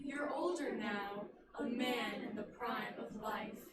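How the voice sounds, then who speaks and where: A female-sounding, put-on character voice speaks at a fairly high pitch and fairly slow pace. There is slight echo and clear background noise. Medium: stage play. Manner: solemn, measured.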